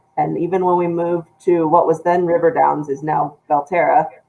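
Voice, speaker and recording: At a fairly quick pace, a woman talks in a plain, everyday voice with a fairly low pitch. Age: 30s. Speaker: news editor. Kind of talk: casual chat.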